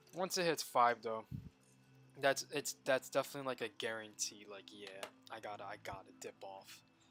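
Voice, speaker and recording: With music in the background, a man speaks with lively intonation and big swings in loudness. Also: medium pitch for a man, moderate pace. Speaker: streamer. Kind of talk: casual chat.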